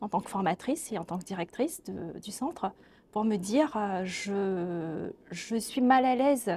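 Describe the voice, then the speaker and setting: With lively intonation, a woman speaks in a dark, mellow tone. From Mauritius. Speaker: social scientist, linguistics researcher. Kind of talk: webinar interview. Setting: webinar. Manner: hesitant, many fillers.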